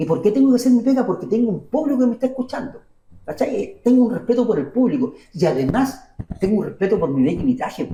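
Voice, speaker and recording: Very fast speech from a man with an extremely high pitch, lively intonation and a Chilean accent. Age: 60s. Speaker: university minstrel musician and auditor. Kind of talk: interview.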